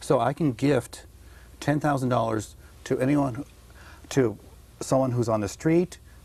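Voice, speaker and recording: A man with a dark, mellow, somewhat breathy tone and medium pitch speaks at a fairly slow pace, with ordinary pitch variation and long, frequent pauses. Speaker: tax agent. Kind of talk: interview.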